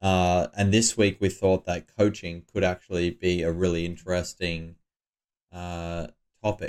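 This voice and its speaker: A man speaks at a moderate pace with a very deep, low pitch in a monotone, flat intonation. The recording is very clean, with a silent background. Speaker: poker player and podcast co-host. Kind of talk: casual chat. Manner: laughs often.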